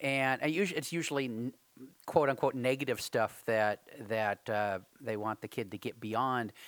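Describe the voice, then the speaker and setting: A man speaks in a normal speaking voice at a moderate pace, with medium pitch and ordinary pitch variation. The very clean recording has a silent background and a dry, close sound with no echo. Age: 40s. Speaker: early learning podcast co-host. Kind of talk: casual chat.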